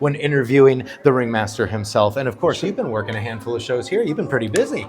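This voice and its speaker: Over music in the background, a man speaks at a medium pitch with hardly any pauses. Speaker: wrestling interviewer. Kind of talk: interview host.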